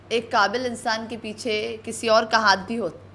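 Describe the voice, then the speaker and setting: This woman has a fairly high pitch. Her tone is bright and sharp. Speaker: news reporter. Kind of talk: news interview.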